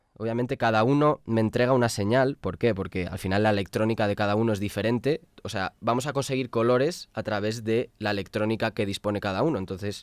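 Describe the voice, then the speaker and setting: A man at a fairly quick pace with ordinary pitch variation, in a very clean recording with a silent background and a dry, close sound with no echo. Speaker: music production youtuber. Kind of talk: product review. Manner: animated.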